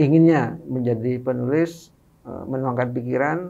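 A man at medium pitch, speaking at a very slow pace. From Madura, East Java, Indonesia; East Java, Indonesia. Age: 50s. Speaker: author and activist; guest. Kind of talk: interview. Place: studio. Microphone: studio mic.

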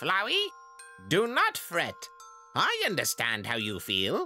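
A put-on character voice speaks at a fairly slow pace over faint background music. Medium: dub. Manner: hesitant, stammering.

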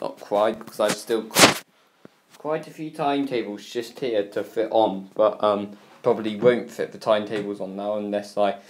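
A man's moderately paced speech over noticeable background noise. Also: fairly low pitch for a man, ordinary pitch variation. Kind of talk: casual vlog chat. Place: home room. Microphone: phone near.

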